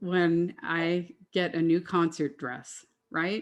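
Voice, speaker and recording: A woman speaks at a very slow pace and fairly low pitch. Behind her, the background is quiet. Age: 60s. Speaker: classical singer sharing weight-loss story. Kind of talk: testimony. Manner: talkative.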